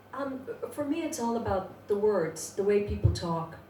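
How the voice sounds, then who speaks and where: A woman speaks amid audible room echo and noticeable background noise. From Ireland, Dublin, working class. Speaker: poet. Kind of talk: interview. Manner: hesitant, many fillers.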